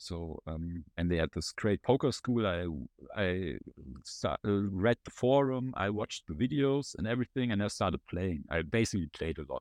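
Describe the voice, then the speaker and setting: At a moderate pace, a man with a German accent talks in a fairly low pitch with lively intonation. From Germany. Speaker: former poker player and content manager. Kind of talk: casual interview.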